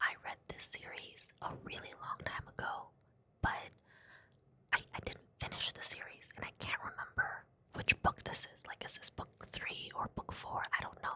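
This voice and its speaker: Whispering at a moderate pace, a woman shows big swings in loudness against noticeable background noise. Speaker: book vlogger. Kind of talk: casual vlog. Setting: library.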